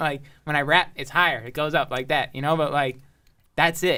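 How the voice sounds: The man has a fairly high pitch, a bright, sharp tone and an American accent, with fairly even intonation. The recording is very clean with a silent background.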